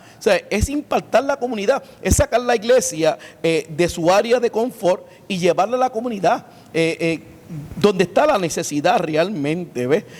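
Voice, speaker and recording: A man with a high-pitched voice speaks with lively intonation over noticeable background noise. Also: moderate pace. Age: 60s. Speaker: pastor. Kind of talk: interview. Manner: halting, many filler sounds.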